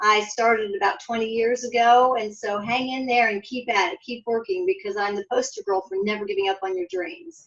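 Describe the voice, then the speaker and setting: A woman with a plain, everyday voice, fairly high-pitched, lively in intonation, at a fairly quick pace with hardly any pauses. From US Midwest, Columbus, Ohio. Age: 60s. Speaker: author. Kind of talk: interview.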